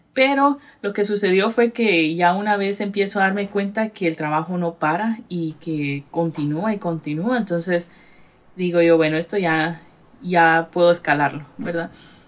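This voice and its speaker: In an ordinary speaking voice, a woman talks at a fairly slow pace and a fairly low pitch with ordinary pitch variation. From Guatemala, Retalhuleu. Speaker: artist and gallery owner. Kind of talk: casual interview.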